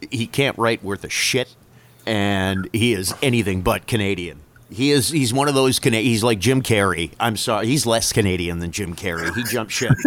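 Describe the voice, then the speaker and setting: With an unremarkable speaking voice, the man talks at a moderate pace, his pitch fairly low and its variation ordinary. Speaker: podcast host. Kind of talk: casual banter podcast.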